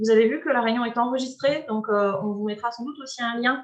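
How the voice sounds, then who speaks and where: Fairly high in pitch, a woman talks at a fairly quick pace. Her intonation is fairly even. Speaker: webinar presenter, climate organization member. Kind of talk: online webinar introduction. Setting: video call. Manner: fast; hesitant, many fillers.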